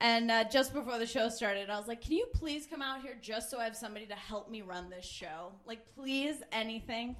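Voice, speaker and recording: Playful in tone, a woman speaks at a fairly quick pace with ordinary pitch variation and big swings in loudness. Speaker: live show host and emcee. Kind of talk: hyped-up live emcee introduction, stage-announcer style. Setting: live stage with audience. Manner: animated, shouting, whooping, crowd-pumping; playful, quick-witted, ad-libbing.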